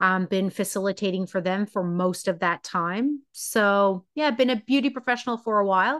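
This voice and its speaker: An ordinary speaking voice at a moderate pace, with hardly any pauses, very even loudness, ordinary pitch variation and a dry, close sound with no echo. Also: woman, medium pitch for a woman. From Newfoundland, Canada. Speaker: hairstylist turned psychological safety coach. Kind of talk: interview conversation.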